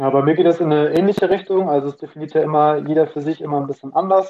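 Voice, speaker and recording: A man speaks with an ordinary speaking voice. His pitch is fairly high and his intonation fairly even. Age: 20s. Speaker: student and finance content creator. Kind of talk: casual interview.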